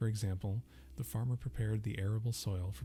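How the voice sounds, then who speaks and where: Music plays in the background as a man speaks at a fairly quick pace. His pitch is fairly low, with lively intonation. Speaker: ASMR dictionary reader.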